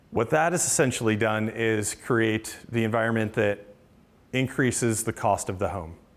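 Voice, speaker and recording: Ordinary pitch variation in a very clean recording with a silent background. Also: man, medium pitch for a man. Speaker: housing nonprofit builder. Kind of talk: talk with Q&A. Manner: fast.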